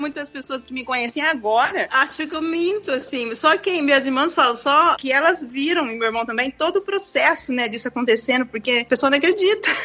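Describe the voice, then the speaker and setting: Lively intonation and a high pitch mark this woman's voice. She barely pauses, with noticeable background noise behind her. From Brazil, Paraná (Londrina). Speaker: expat economist and former prison officer. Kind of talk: interview.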